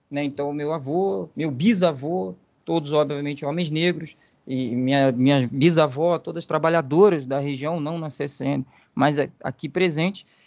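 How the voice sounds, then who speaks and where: A man with an ordinary speaking voice, fairly high pitch, ordinary pitch variation and a fairly slow pace against a quiet background. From Brazil, Volta Redonda (Rio de Janeiro state). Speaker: history researcher. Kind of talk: podcast interview.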